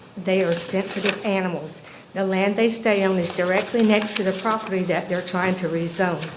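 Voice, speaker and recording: Over noticeable background noise and audible room echo, a woman with an American accent speaks at a moderate pace, using a medium pitch and fairly even intonation. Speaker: local resident, goat farmer. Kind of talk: public comment at county board meeting.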